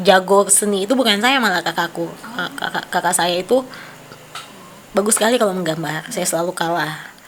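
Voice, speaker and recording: A woman with a medium pitch speaks at a moderate pace over noticeable background noise. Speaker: artist. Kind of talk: casual chat.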